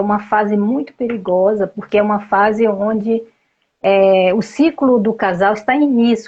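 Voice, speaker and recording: A woman speaks at a medium pitch in a somewhat breathy voice. Her pace is fairly slow. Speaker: family systemic therapist. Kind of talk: interview.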